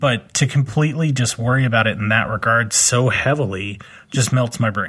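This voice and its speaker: A man talks at a moderate pace and medium pitch in a normal speaking voice. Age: 30s. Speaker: podcast host, professional body piercer. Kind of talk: casual chat.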